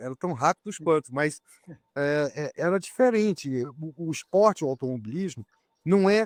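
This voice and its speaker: An ordinary speaking voice from a man, fairly high-pitched, at a moderate pace with lively intonation, in a dry, close sound with no echo and a quiet background. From Brazil. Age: 60s. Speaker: racing driver. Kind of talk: interview.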